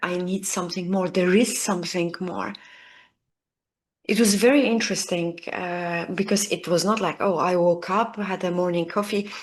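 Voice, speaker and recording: Speaking with a non-native accent, a woman keeps a medium pitch and fairly even intonation. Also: quiet background. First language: not English. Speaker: leadership coach. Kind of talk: video lesson to camera.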